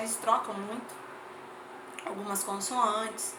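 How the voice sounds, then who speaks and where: Through audible room echo and noticeable background noise, a woman speaks at a fairly high pitch. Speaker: teacher. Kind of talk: lecture.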